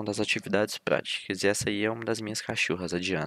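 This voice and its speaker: Recorded very cleanly against a silent background, this man's voice sounds dry and close with no echo. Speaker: university student tutor. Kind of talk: lecture. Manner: fast.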